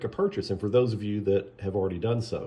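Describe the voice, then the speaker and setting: A somewhat breathy man's voice, fairly low in pitch, at a fairly quick pace. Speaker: artist selling signed prints. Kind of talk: casual product video. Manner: hesitant, many fillers.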